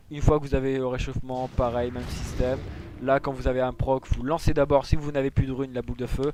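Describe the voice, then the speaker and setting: A man speaks at a fairly quick pace in a medium pitch. His intonation is monotone and flat. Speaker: gaming tutorial creator. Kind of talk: tutorial.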